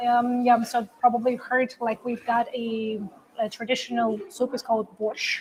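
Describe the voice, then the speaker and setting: A Russian accent at a moderate pace, in a monotone, flat intonation. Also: woman, high pitch for a woman. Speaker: livestream co-host. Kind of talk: casual chat. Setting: trade show livestream.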